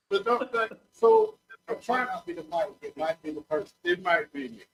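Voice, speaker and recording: With music playing in the background, a man speaks in a high pitch at a moderate pace, his intonation lively and his loudness swinging widely. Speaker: sports talk show co-host. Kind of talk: casual chat. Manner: halting. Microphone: too quiet at first.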